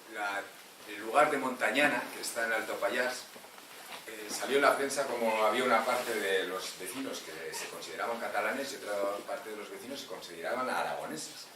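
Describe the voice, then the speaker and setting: Amid noticeable background noise and audible room echo, a man talks with ordinary pitch variation and big swings in loudness. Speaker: historian giving a talk. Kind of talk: public lecture.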